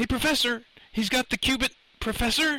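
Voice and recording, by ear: In a put-on character voice, a man speaks at an extremely high pitch with a bright, sharp tone, ordinary pitch variation, and a moderate pace.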